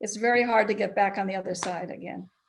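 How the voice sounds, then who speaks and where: A woman speaks with vocal fry and ordinary pitch variation. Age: 80s+. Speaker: former school board member and local political activist. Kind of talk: panel discussion. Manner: halting.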